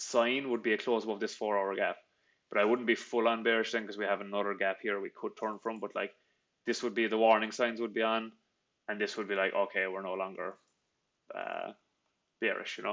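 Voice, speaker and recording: In a Cork accent, a man speaks at a medium pitch and a fairly quick pace, with monotone, flat intonation and long, frequent pauses. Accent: Cork Irish. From Ireland, Cork. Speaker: trader. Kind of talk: live trading stream, casual Q&A with chat. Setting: live stream. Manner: casual, many fillers and restarts.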